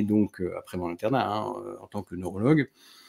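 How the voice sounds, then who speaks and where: A man's fairly low-pitched voice over a quiet background. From France, Grenoble (Alps); France. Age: 40s. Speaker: neurologist; interview guest. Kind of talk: casual chat. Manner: halting. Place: home room.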